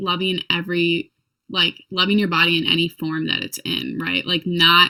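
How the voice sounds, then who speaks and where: With an American accent, a plain, everyday voice holds a fairly even intonation. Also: woman. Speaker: youtuber. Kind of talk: casual interview chat.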